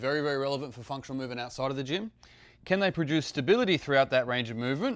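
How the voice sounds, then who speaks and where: Over a silent background in a very clean recording, a man talks at a very fast pace with lively intonation and a fairly high pitch. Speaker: fitness coach. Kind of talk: short talking-head tutorial.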